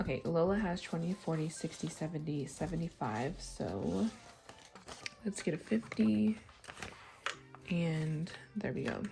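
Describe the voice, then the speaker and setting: Amid noticeable background noise, a woman with a fairly low pitch speaks at a fairly slow pace, taking long, frequent pauses and using very wide pitch swings. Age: 30s. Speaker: budgeting vlogger. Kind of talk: casual chat.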